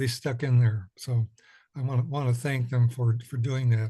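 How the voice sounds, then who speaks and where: Somewhat breathy, a man speaks with a dark, mellow tone and monotone, flat intonation. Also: quiet background. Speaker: commission member, committee chair. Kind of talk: public meeting report. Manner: halting, many fillers.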